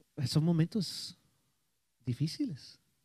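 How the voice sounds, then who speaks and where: With an English accent and a dark, mellow tone, a man speaks in a dry sound with no echo against a quiet background. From United States. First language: English (speaking Spanish). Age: 60s. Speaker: pastor. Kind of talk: sermon. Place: church. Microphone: handheld.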